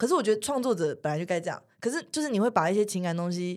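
A woman talking very fast with very wide pitch swings, on a very clean recording with a silent background. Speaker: friend of the host. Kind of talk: casual chat. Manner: lively.

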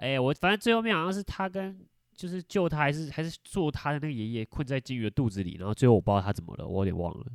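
A man's fairly high voice with very wide pitch swings at a very fast pace, dry and close with no echo, in a very clean recording with a silent background. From Taiwan, Taichung. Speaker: podcast host. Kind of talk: casual chat.

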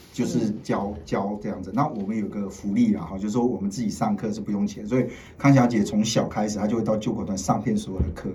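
A man speaks very fast at a fairly low pitch, somewhat breathy, with ordinary pitch variation. Audible room echo surrounds his voice. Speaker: TV political commentator. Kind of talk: casual chat. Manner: animated.

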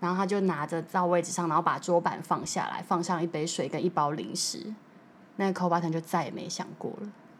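This woman talks at a very fast pace. Her fairly low voice stays monotone and flat. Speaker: flight attendant. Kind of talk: casual chat.

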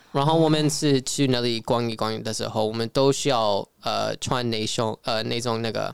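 With an English accent, a man speaks at medium pitch and a moderate pace, with fairly even intonation, hardly any pauses, and a dry, close sound with no echo. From California, US (Filipino-American). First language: English (speaking Chinese). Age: young. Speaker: traveler and Mandarin learner. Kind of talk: casual interview chat. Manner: halting, searching for words.

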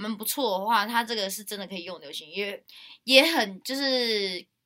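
A woman's fairly high, bright and sharp voice moves at a moderate pace with lively intonation. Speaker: university student podcast host. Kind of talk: casual chat.

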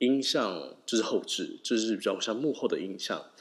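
Fairly slow speech from a man, very clean recording, silent background. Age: 20s. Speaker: podcast host. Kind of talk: solo podcast monologue. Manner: halting.

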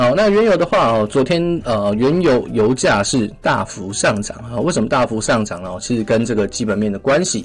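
Music plays behind a man talking at a moderate pace. His pitch is medium and his intonation lively. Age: 20s. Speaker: finance podcast host. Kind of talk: casual finance commentary. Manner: many filler particles.

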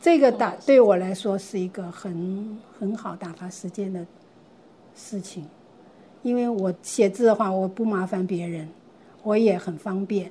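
A woman speaks fairly slowly at a medium pitch, her tone dark and mellow and somewhat breathy. She shows ordinary pitch variation, big swings in loudness and long, frequent pauses. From Taiwan, Gangshan (Kaohsiung). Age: 70s. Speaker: retiree and senior learner. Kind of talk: interview storytelling.

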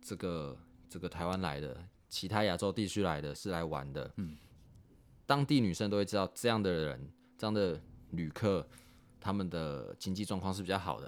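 Moderate pace, ordinary pitch variation and long, frequent pauses in a very clean recording with a silent background. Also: man, very deep, low pitch for a man. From Taiwan. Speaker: expatriate factory worker. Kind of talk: casual chat.

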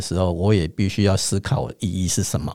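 On a very clean recording with a silent background, a man uses an ordinary speaking voice at a fairly low pitch and a moderate pace. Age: 50s. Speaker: spiritual teacher and astrologer. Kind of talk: teaching chat.

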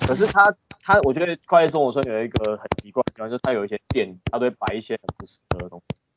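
A man at medium pitch speaks very fast, with very wide pitch swings and big swings in loudness. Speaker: podcast guest. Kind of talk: casual chat.

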